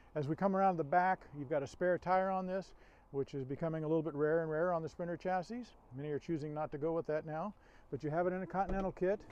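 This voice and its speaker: A man's high-pitched voice at a very fast pace, fairly even in intonation, with a dry, echo-free sound and light background noise. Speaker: RV salesperson. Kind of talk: product walkaround presentation. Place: street.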